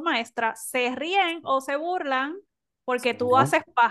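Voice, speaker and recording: A woman speaks fairly slowly in a high pitch and a bright, sharp tone, with ordinary pitch variation. The background is quiet. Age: young. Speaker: podcast co-host. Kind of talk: casual discussion.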